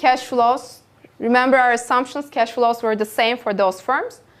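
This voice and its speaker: Her voice is high-pitched, and the woman keeps her intonation fairly even. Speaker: university lecturer. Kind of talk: lecture. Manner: slow.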